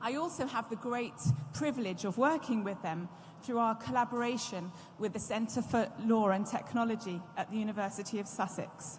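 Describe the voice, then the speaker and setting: With audible room echo, a woman speaks in a British accent at a moderate pace, her fairly high pitch showing ordinary variation. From UK. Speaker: law professor, panel moderator. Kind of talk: conference moderation speech. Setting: stage at conference with audience. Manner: formal.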